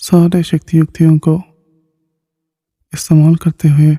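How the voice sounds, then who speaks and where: A man speaks with a fairly high pitch and a dark, mellow tone. His intonation is monotone and flat, and the sound is dry and close with no echo. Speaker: meditation teacher. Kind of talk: guided meditation. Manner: slow; soft-spoken.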